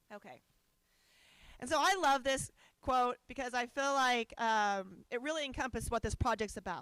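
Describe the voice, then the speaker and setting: A loud woman speaks at a high pitch and a moderate pace, leaving long, frequent pauses. The sound is dry and close, without echo. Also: ordinary pitch variation. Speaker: organization director. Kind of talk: conference presentation. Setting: conference hall with audience.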